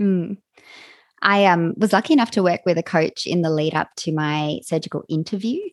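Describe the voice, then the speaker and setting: A woman's unremarkable speaking voice, fairly low in pitch with ordinary pitch variation, at a moderate pace, in a dry, close sound with no echo and a quiet background. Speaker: podcast host. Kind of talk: interview chat.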